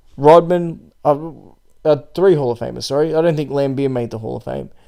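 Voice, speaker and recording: At a fairly quick pace, a man speaks in a fairly high pitch with a dark, mellow tone. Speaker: basketball podcast host. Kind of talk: solo podcast commentary. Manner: halting.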